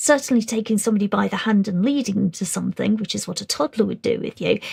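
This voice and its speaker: A woman with a British accent talks quietly, the sound dry and close with no echo. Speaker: SEN training presenter. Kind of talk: webinar presentation. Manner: relatively quiet.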